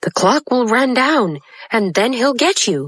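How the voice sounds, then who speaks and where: Using a put-on character voice, a female-sounding speaker talks at a fairly slow pace and a fairly high pitch. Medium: read story.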